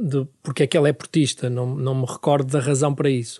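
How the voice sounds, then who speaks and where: Over a quiet background, a man with a dark, mellow tone and fairly high pitch speaks at a fairly quick pace. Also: dry, close sound with no echo. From northern Portugal (Famalicão, Minho). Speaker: writer and editor. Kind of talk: radio interview.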